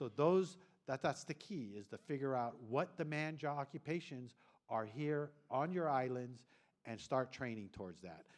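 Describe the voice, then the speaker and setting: A man's normal speaking voice at a medium pitch, with lively intonation and a moderate pace. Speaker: government official presenting at a regional forum. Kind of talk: conference presentation.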